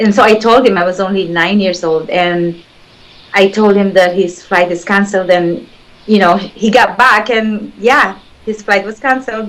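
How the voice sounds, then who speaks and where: In a Filipino accent, a woman talks at a moderate pace with fairly even intonation and a medium pitch. Noticeable background noise runs underneath. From Philippines. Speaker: spiritual healer. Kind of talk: interview. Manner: halting.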